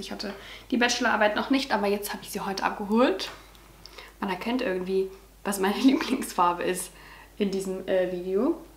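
A woman talks at a fairly quick pace with ordinary pitch variation. There is audible room echo and light background noise. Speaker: vlogger. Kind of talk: casual vlog chat. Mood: cheerful, proud. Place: home room. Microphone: camera far.

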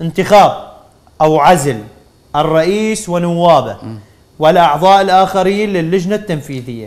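Speaking at a fairly slow pace, a man uses a high pitch with ordinary pitch variation. He has an Iraqi accent. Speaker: sports TV presenter; TV presenter. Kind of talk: TV sports talk show. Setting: studio. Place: studio. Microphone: lapel.

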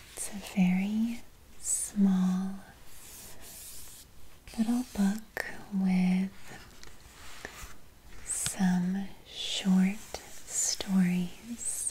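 A soft-spoken woman talks in a flat monotone, pausing long and often, over light background noise. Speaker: bedtime story reader. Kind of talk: soft bedtime story reading. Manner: soft, slow ASMR speaking voice. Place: home room.

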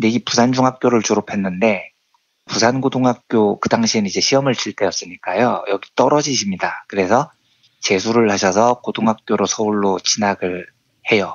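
A man speaks at a moderate pace with an ordinary speaking voice. His pitch sits in the medium range, with ordinary pitch variation. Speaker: economics journalist. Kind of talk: radio-style commentary segment. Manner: solemn, mournful.

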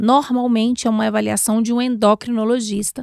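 The woman speaks at a moderate pace and fairly high pitch, with ordinary pitch variation. The sound is dry with no echo over a quiet background. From Brazil, Minas Gerais (Belo Horizonte), moved to Brasília at 12. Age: 40s. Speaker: bariatric surgeon; guest. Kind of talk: podcast interview. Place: studio. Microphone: studio mic.

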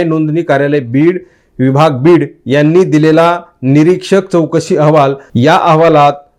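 A man talks in an ordinary speaking voice. His pitch is fairly high, with ordinary pitch variation. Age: young. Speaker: news commentator. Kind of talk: political news commentary.

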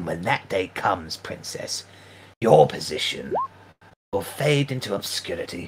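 A man does a put-on character voice at a medium pitch, raspy and growling with hissing. He leaves long, frequent pauses. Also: moderate pace. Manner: furious, snarling, menacing.

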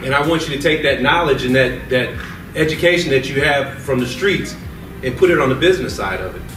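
A man at medium pitch with lively intonation and a fairly quick pace, audible room echo, and clear music in the background.

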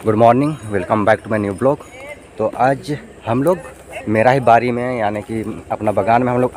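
A man at a moderate pace with fairly even intonation, a dry sound with no echo, and light background noise. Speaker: village vlogger. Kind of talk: casual vlog chat. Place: farm machine. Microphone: phone near.

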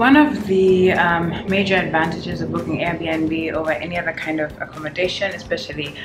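A woman at a fairly quick pace with hardly any pauses, clear music in the background. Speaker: travel vlogger. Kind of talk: casual vlog chat. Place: home room. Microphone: phone near.

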